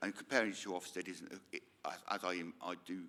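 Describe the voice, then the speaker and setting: A man talks with a rural English accent. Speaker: local councillor. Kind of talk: formal committee meeting question. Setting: council meeting room.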